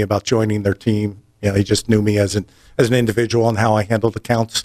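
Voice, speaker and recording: This man has a slight East Coast accent and a fairly low pitch. His intonation is monotone and flat, and the sound is dry and close with no echo. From New Jersey. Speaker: audio industry sales representative. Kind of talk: casual interview.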